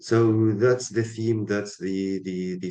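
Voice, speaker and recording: A man is speaking. His pace is fairly slow. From Tunisia. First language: Arabic. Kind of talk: interview. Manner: halting, many fillers.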